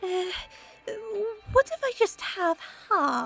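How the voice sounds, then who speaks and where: An extremely high put-on character voice from a woman, with music in the background. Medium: read story. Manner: posh, theatrical.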